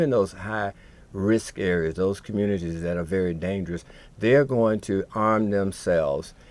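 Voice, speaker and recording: A man with an unremarkable speaking voice, fairly low in pitch, at a moderate pace. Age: 60s. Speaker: TV talk show co-host. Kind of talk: live call-in TV discussion.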